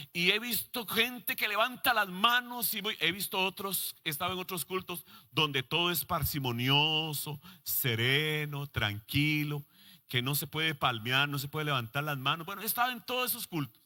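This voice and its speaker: Recorded very cleanly against a silent background, a man talks at a moderate pace with a bright, sharp tone, a fairly high pitch and very wide pitch swings. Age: 60s. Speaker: pastor. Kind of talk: sermon.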